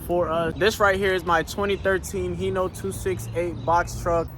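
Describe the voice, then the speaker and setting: The speech goes at a moderate pace. Noticeable background noise is present. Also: man. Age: 20s. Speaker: trucking owner-operator and vlogger. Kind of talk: casual vlog talk.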